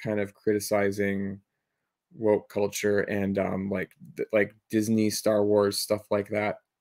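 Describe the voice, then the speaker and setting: Fairly low-pitched male speech in an ordinary speaking voice, at a fairly slow pace, in a very clean recording with a silent background. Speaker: podcast co-host. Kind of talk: casual discussion.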